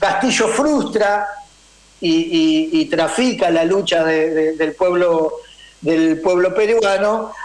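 Amid noticeable background noise, a man with a high pitch speaks very slowly at very even loudness, his pitch swinging very widely. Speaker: political columnist and university lecturer. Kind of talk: radio political commentary.

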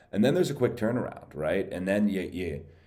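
The voice has a dark, mellow tone with very wide pitch swings. Audible room echo surrounds it. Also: man. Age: 30s. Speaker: golf gambling podcast host. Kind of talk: solo casual monologue. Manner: halting, many repetitions.

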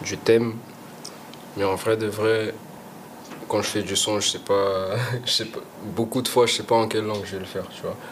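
There is noticeable background noise here. A man speaks with monotone, flat intonation. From Portugal. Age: 20s. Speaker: rapper. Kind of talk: casual chat. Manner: halting.

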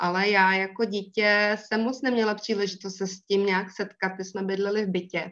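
The speaker talks at a moderate pace in a monotone, flat delivery. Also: woman. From northern Bohemia, Most. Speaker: secondary school English teacher, hobby gardener. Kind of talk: interview, casual chat.

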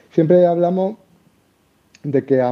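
A man speaks with an Andalusian accent at a fairly slow pace. His intonation is lively. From Andalusia, Seville. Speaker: crypto enthusiast. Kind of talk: casual chat.

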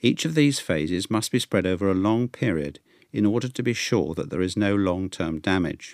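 This man talks at a moderate pace with lively intonation and a fairly low pitch, in an unremarkable speaking voice. The sound is dry and close with no echo, on a very clean recording with a silent background. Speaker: newsletter reader. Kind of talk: reading aloud. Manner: formal.

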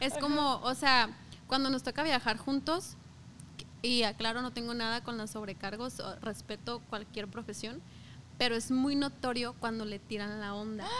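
A fairly high-pitched woman's voice, bright and sharp in tone, at a fairly slow pace with ordinary pitch variation. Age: 20s. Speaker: podcast guest, sports club employee. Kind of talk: casual chat.

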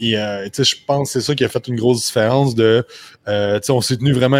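With a Quebec accent, a man speaks at a moderate pace with medium pitch and fairly even intonation, in a dry, close sound with no echo. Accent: Québécois French. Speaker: personal trainer, business owner. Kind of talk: casual interview. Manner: halting.

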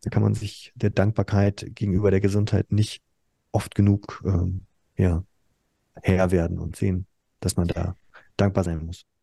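A man's somewhat breathy voice with a dark, mellow tone, very deep, low pitch and monotone, flat intonation, at a fairly slow pace with long, frequent pauses, dry and close with no echo against a quiet background. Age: 40s. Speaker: school principal. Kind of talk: casual chat.

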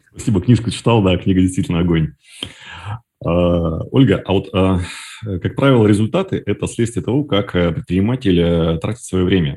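At a moderate pace, a man with a very deep, low pitch and a dark, mellow tone speaks with ordinary pitch variation and long, frequent pauses. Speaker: podcast host. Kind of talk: interview. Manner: halting.

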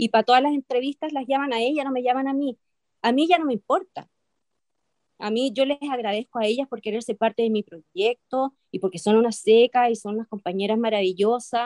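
A woman speaks with a Chilean accent at a high pitch, with ordinary pitch variation. The sound is dry and close, with no echo. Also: fairly quick pace. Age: 50s. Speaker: actress. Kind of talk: interview. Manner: hesitant with many fillers.

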